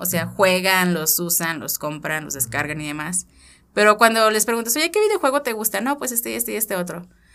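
A woman with a Mexican accent speaks at a moderate pace in a bright, sharp tone with lively intonation. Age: 30s. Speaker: IT engineer and tech educator. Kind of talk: casual interview.

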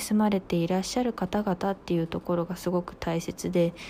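This woman's voice has a dark, mellow tone. She talks at a medium pitch. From rural Japan. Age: 20s. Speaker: radio personality, new company employee. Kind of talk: solo radio talk. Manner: polite, casual.

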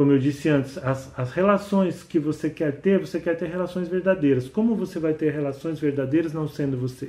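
Using an ordinary speaking voice, a man with a fairly high pitch talks at a fairly quick pace with ordinary pitch variation and hardly any pauses. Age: 50s. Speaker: podcast host and author. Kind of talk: monologue podcast talk.

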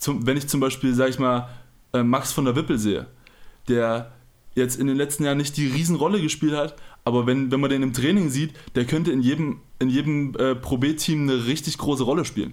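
Here a man has an unremarkable speaking voice, fairly high in pitch, with a fairly quick pace, fairly even intonation and very even loudness. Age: 20s. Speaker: professional basketball player. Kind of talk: casual interview.

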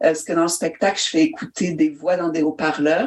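Against noticeable background noise, a woman talks at a fairly low pitch with ordinary pitch variation. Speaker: storyteller and actress. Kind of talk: interview.

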